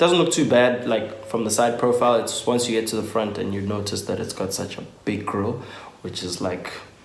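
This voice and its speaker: Noticeable background noise and audible room echo surround a man speaking at a moderate pace. His pitch is medium, with ordinary pitch variation. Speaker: motoring YouTuber. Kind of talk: casual vlog talk. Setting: at home on a couch. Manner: hesitant, many filler ums.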